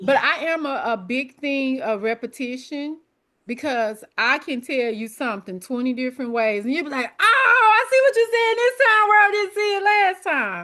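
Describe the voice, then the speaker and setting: A woman with a Memphis accent speaks in a bright, sharp tone and a raised, projected voice at a moderate pace, her pitch swinging very widely against a quiet background. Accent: Southern US (Memphis). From US South. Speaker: exam prep coach. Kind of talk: online study group session.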